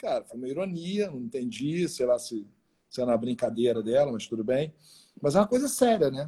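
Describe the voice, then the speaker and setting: A moderately paced man with a fairly high pitch, a dark, mellow tone, lively intonation and big swings in loudness. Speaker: podcast host, former radio presenter. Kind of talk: casual interview. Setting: at home during quarantine. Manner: animated.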